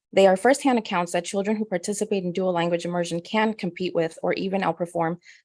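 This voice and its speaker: In a Spanish accent, a woman talks at a fairly quick pace with a medium pitch. Her intonation is fairly even, and the background is quiet. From Spanish-speaking country. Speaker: parent speaking at public comment. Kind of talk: prepared public comment. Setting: board meeting.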